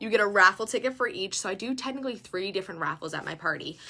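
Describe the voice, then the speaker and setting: A woman's very fast speech at a medium pitch, bright and sharp in tone, with ordinary pitch variation. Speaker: direct sales consultant. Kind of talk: tutorial. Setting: live video stream. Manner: animated.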